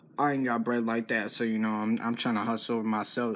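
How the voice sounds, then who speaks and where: This man talks at a very fast pace. His pitch is fairly low. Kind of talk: casual vlog chat. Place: home room. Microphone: phone near.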